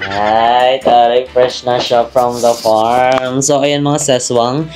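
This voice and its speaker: Over music in the background, a man speaks very slowly in a monotone, flat intonation at a very even loudness. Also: medium pitch for a man. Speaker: travel vlogger. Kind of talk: casual vlog chat.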